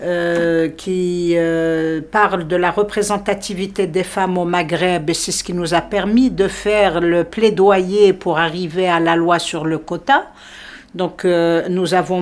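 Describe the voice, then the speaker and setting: Very slow delivery with ordinary pitch variation. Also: woman. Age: 60s. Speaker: lawyer and law lecturer. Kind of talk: interview. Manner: hesitant, many fillers.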